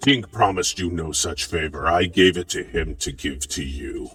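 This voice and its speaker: Growling in a put-on character voice, a man speaks at a very deep, low pitch and a moderate pace over faint music in the background. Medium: actual play. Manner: curt, brusque.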